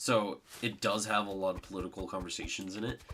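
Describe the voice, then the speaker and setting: There is noticeable background noise as a man talks at a moderate pace. His pitch is very deep and low. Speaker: gaming streamer. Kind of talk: solo gameplay stream chat. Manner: talkative.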